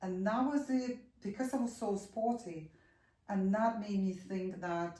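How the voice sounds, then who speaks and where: This woman speaks fairly slowly with a Ukrainian accent, her tone dark and mellow. Her voice is somewhat breathy, with ordinary pitch variation. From Ukraine. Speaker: yoga and posture teacher. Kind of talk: interview.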